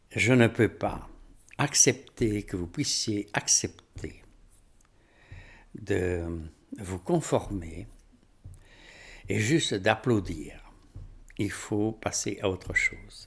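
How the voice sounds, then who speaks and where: Speaking very slowly with long, frequent pauses, a man uses a fairly low pitch, a somewhat breathy tone and lively intonation. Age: 70s. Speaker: spiritual teacher. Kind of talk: rant to camera. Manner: animated.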